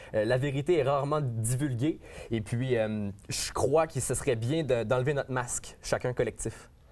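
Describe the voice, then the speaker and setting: A man with a Quebec accent, medium pitch, fairly even intonation and a moderate pace, in a very clean recording with a silent background. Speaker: rapper. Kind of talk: interview. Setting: studio. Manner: hesitant, many fillers.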